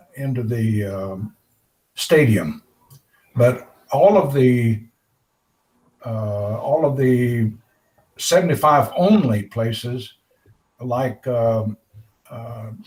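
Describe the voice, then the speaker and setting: A man with a medium pitch speaks at a very slow pace, leaving long, frequent pauses. His voice is somewhat breathy, with ordinary pitch variation and big swings in loudness. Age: 80s+. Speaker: computer club member. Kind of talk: casual chat. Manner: halting.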